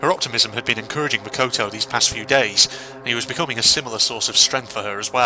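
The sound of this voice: The voice heard here reads in an unforced way.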